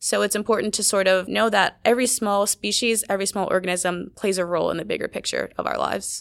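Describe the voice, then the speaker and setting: A woman with an American accent talks at a very fast pace with hardly any pauses in a very clean recording with a silent background. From Maryland, US East Coast. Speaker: undergraduate researcher. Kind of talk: casual interview. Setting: studio around a table.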